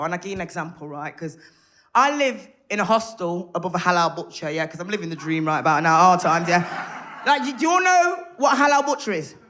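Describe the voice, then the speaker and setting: Audible room echo surrounds a woman speaking at a fairly quick pace. Her pitch swings very widely. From Birmingham, England (Handsworth). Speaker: stand-up comedian. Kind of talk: stand-up. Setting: stage with audience. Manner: animated.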